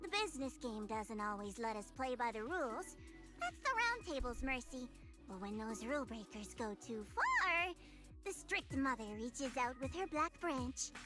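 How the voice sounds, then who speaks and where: Over clear background music, a woman puts on a character voice at a high pitch and a moderate pace. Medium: game stream. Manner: calm, self-assured.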